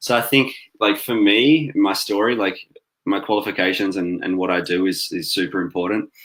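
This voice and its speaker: Speaking in an Australian accent, a man uses a fairly low pitch with ordinary pitch variation at a moderate pace. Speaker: cancer survivor and social worker. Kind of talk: interview.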